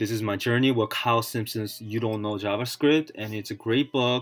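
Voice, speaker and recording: A man's fairly low-pitched voice over background music. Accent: non-native. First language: not English. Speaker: self-taught programmer video blogger. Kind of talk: tutorial. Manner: halting.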